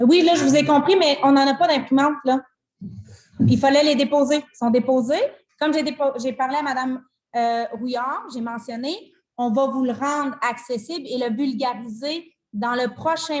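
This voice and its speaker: This woman has a high-pitched voice. Her pace is moderate and her pitch varies in an ordinary way. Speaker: mayor chairing council meeting. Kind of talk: council meeting discussion. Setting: municipal council meeting. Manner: loud.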